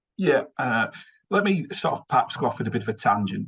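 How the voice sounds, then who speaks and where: The speaker talks at a fairly quick pace with a strong northern English accent. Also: man. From northern England. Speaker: finance executive. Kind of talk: webinar presentation. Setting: online webinar. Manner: fast.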